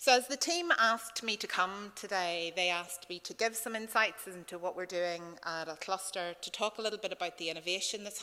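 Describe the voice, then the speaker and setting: Speaking at a fairly quick pace, a woman has a bright, sharp tone, medium pitch and fairly even intonation. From Northern Ireland, County Tyrone. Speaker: conference speaker, fintech cluster leader. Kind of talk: conference presentation.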